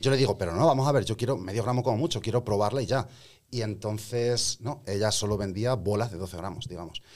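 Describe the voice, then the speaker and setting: The recording is very clean, with a silent background. A man with a fairly low pitch talks at a very fast pace. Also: ordinary pitch variation. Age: 30s. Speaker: rapper. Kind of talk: casual chat.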